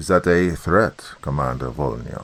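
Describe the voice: A man's put-on character voice, extremely low with vocal fry, fairly bright in tone, lively in intonation and at a moderate pace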